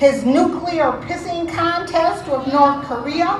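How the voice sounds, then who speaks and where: Very slowly, a woman speaks in an American accent with ordinary pitch variation. The recording carries noticeable background noise and audible room echo. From Detroit, US. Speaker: activist speaker. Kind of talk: protest rally speech. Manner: impassioned.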